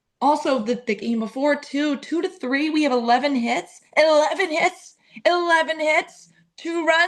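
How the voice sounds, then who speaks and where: Loud and high-pitched, a woman talks in an animated tone with lively intonation. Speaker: sports content creator. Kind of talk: casual chat.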